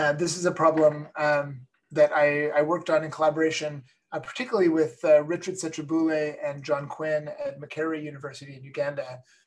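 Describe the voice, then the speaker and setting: Fairly quick and monotone, a man talks with flat intonation in a fairly high voice. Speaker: computer science professor. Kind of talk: lecture. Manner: fast; halting, many fillers.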